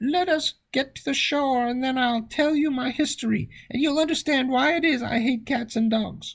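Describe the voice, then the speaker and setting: A put-on character voice at a high pitch moves at a moderate pace with hardly any pauses. The recording is very clean, with a silent background. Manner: trembling with passion.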